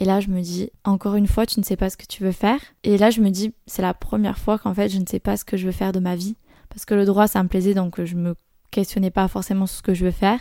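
Over a silent background on a very clean recording, a woman speaks very fast at a medium pitch in a dark, mellow tone, her intonation monotone and flat but her loudness swinging widely. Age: 20s. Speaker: podcast host and work-study student. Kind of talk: solo podcast monologue. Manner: casual with many fillers.

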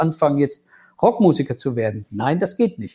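A man speaks with a dark, mellow tone that is somewhat breathy, his pitch fairly high. The recording is very clean, with a silent background. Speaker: lawyer and former rock guitarist. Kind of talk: interview. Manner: hesitant with many fillers.

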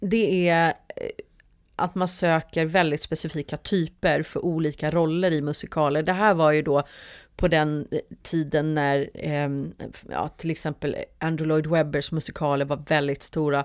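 A woman's very deep, low voice, flat and monotone at a fairly slow pace, on a very clean recording with a silent background. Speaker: musical theatre performer and producer. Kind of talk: casual interview.

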